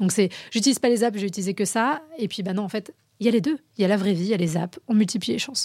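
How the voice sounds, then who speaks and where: A woman's somewhat breathy voice at medium pitch, ordinary pitch variation, a very fast pace, and a dry, close sound with no echo. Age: 30s. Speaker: relationship coach and entrepreneur. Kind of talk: casual interview.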